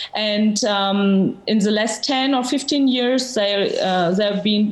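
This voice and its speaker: A woman with a Georgian accent and a fairly high pitch, at a fairly slow pace, with audible room echo and noticeable background noise. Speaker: novelist. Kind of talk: interview. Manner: halting, many fillers.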